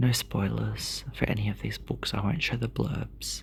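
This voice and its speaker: A woman whispers in an Australian accent at a fairly slow pace. Background noise is noticeable. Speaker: ASMR creator. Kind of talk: ASMR book show-and-tell. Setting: hotel room. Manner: soft-spoken.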